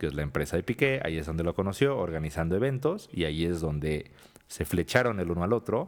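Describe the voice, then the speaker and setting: Very deep and low in pitch, a man with a Mexican accent talks with lively intonation. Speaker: podcast co-host. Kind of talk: casual chat.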